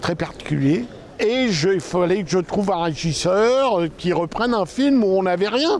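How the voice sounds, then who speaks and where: Through noticeable background noise, a man with high pitch speaks at a fairly slow pace with lively intonation and very even loudness. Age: 70s. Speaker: film producer and former actor. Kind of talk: interview. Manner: halting, with frequent hesitations.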